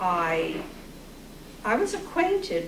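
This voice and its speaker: There is audible room echo along with noticeable background noise. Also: woman. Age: 70s. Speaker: retired teacher and poet. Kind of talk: poetry reading discussion with audience.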